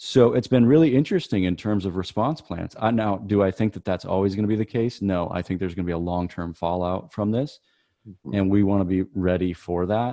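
In an American accent, a man speaks at a fairly quick pace in a plain, everyday voice. His pitch is fairly low, with ordinary variation. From US Midwest, Michigan. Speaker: pastor. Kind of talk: casual interview.

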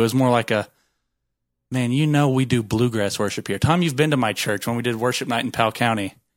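A man's unremarkable speaking voice at a medium pitch and a fairly quick pace, in a very clean recording with a silent background. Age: 20s. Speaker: former church volunteer, guest. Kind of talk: casual chat.

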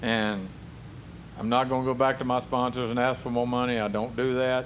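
This man's voice sits at a medium pitch, moving at a moderate pace with fairly even intonation. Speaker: professional drag racer. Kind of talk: casual interview. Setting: racing shop.

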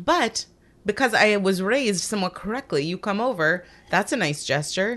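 Spoken at a moderate pace in an ordinary speaking voice. The intonation is lively. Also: woman, medium pitch for a woman. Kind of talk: casual chat.

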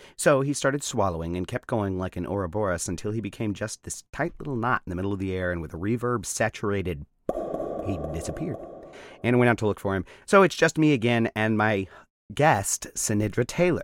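Lively intonation marks this man's a plain, everyday voice, fairly low in pitch, with an American accent and a fairly quick pace. The very clean recording has a silent background and a dry, close sound with no echo. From US South, Mississippi Gulf Coast. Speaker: podcast host. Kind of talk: casual interview; scripted comic narration.

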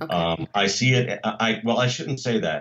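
At a moderate pace, a man with a medium-pitched voice and vocal fry talks with very wide swings in pitch. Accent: American. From United States. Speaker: church musician and ministry director. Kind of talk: interview. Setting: video call.

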